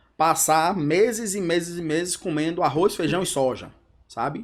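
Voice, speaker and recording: Over a silent background on a very clean recording, a man speaks at a high pitch and moderate pace with ordinary pitch variation. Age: 40s. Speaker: entrepreneur, company co-founder. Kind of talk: podcast interview. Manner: casual, conversational.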